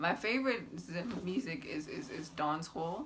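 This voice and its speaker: Amid noticeable background noise, a woman with a fairly low voice speaks fairly slowly, her pitch swinging very widely. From Zimbabwe, Masvingo. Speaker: YouTuber. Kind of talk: casual vlog. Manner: animated.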